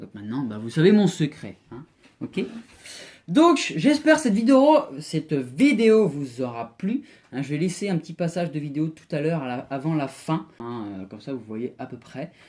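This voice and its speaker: Speech at a fairly slow tempo, on a very clean recording with a silent background. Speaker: vaping tutorial youtuber. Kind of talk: home DIY tutorial. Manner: hesitant, many fillers.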